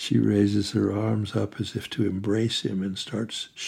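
The speaker reads in a natural voice.

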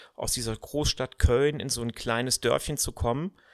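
Recorded very cleanly against a silent background, a man's medium-pitched voice shows ordinary pitch variation, with a dry, close sound and no echo. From Germany, Cologne, later Odenwald. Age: 50s. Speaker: podcast host, management consultant. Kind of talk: personal monologue.

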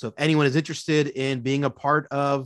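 A man's normal speaking voice with an American accent, medium in pitch, the sound dry and close with no echo. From Philadelphia, Pennsylvania. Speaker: college professor of theology. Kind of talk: casual theological discussion.

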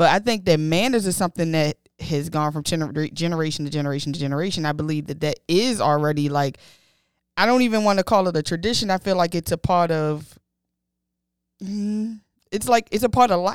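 A woman has an ordinary speaking voice, fairly low in pitch, with ordinary pitch variation and a fairly quick pace. The recording is very clean, with a silent background. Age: 30s. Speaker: podcast co-host. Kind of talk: casual chat.

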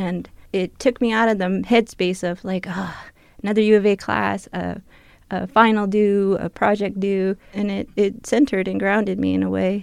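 A normal speaking voice at a moderate pace, on a very clean recording with a silent background. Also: woman. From Tohono O'odham Nation, southern Arizona. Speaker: gardener and cultural outreach worker. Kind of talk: interview. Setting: radio studio.

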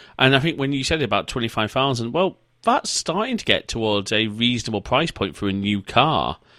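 A man with a northern English accent speaks at a fairly quick pace, with hardly any pauses and lively intonation. His medium-pitched voice has a bright, sharp tone on a very clean recording with a silent background. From northern England. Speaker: podcast host. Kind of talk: casual interview chat.

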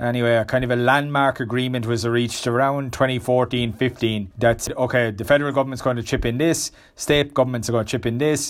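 A man talks at a fairly quick pace. His medium-pitched voice stays monotone and flat. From Ireland. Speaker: investment analyst. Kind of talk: podcast interview.

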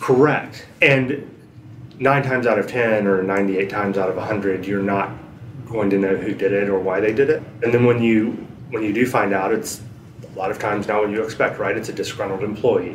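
Amid noticeable background noise and audible room echo, a man with an American accent speaks at a moderate pace in a fairly low pitch with fairly even intonation. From US South, western North Carolina (Asheville). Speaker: data privacy attorney. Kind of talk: interview.

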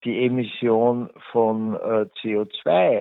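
A man's voice at a medium pitch. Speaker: economist. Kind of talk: interview. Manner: halting.

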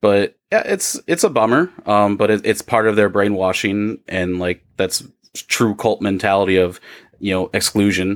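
A man with an ordinary speaking voice and an American accent talks at a moderate pace, his fairly low pitch and fairly even intonation captured in a very clean recording with a silent background and a dry, close sound with no echo. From Iowa. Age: 30s. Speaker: podcaster, former Jehovah's Witness. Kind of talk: casual chat.

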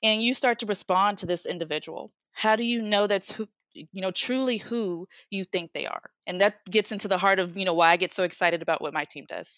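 With an American accent, a woman at medium pitch speaks fairly quickly in an unremarkable speaking voice with ordinary pitch variation. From United States. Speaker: product manager in tech. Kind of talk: casual interview.

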